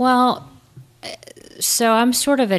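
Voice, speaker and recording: With an American accent, this voice shows ordinary pitch variation. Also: woman. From Indiana, small town. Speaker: trial attorney. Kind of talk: casual interview.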